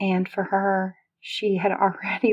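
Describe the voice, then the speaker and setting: The sound is dry and close, with no echo. A woman talks in a soothing, calm tone at medium pitch. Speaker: ASMR storyteller and meditation guide. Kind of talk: soothing ASMR relaxation story. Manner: soothing, slow, calm.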